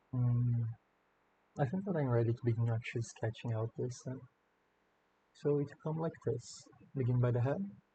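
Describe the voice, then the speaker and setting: A man speaks at a medium pitch and moderate pace, somewhat breathy. His pitch varies in an ordinary way, and he takes long, frequent pauses. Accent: non-native. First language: not English. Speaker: artist drawing tutorial. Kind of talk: drawing commentary. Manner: hesitant, many fillers. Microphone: slightly far away mic, no post production.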